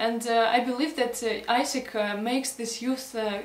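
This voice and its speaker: A woman's fairly high voice comes through audible room echo and noticeable background noise. She keeps a moderate pace with flat, monotone intonation. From Russia, Krasnoyarsk. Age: 20s. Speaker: student organization leader, job applicant. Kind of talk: application video self-presentation. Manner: halting with many fillers.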